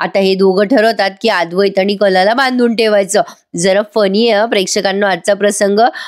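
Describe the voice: A plain reading-aloud voice with fairly even intonation.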